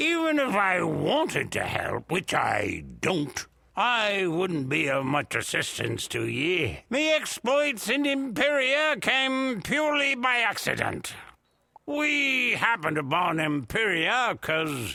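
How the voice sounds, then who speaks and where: Using a put-on character voice, a man speaks high and fairly slowly with very wide pitch swings. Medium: video game. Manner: hearty, laughing, theatrical.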